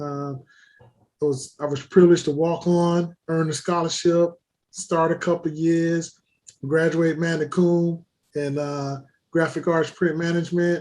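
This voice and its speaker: A man with an American accent speaks at a high pitch in a monotone, flat intonation. His pace is fairly slow. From Florida, Fort Lauderdale. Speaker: sports executive, former college football player. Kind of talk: casual interview.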